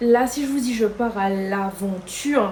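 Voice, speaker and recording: The voice is a woman's, fairly high in pitch. Noticeable background noise runs behind her. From Guadeloupe. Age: 20s. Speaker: lifestyle vlogger. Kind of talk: casual talk to camera.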